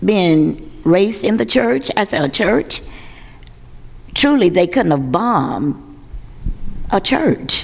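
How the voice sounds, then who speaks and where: A woman with an Alabama accent speaks at a medium pitch. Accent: Southern US, Alabama. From US South, Birmingham, Alabama (Ensley). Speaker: pastor. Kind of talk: panel discussion. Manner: loud.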